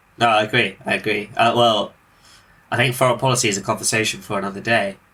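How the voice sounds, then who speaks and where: Speaking at a very fast pace, a man with a medium pitch and a bright, sharp tone keeps his intonation fairly even. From Britain. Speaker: podcast host. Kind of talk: casual political discussion.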